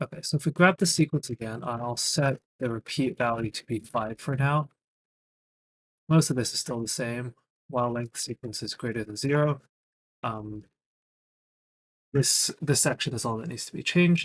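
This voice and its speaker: Recorded with a dry, close sound and no echo, a man talks at medium pitch and a moderate pace in a somewhat breathy voice, with ordinary pitch variation, big swings in loudness and long, frequent pauses. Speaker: programming streamer. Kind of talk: live coding stream. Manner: halting with fillers.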